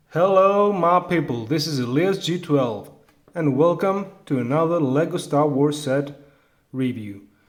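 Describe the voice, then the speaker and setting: A man's fairly high-pitched voice at a fairly slow pace, with ordinary pitch variation and audible room echo. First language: Greek. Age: adult. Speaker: toy reviewer. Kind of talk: product review. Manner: halting, many fillers.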